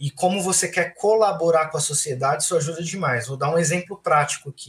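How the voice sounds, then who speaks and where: Here a man speaks with a high pitch. His pitch varies in an ordinary way. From Francisco Morato, São Paulo state, Brazil. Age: 20s. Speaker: architect. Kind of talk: casual chat.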